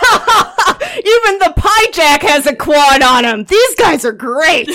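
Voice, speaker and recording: Over light background noise, a gruff, high-pitched put-on character voice moves at a fairly slow pace with very wide pitch swings. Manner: laughing, amused, gruff.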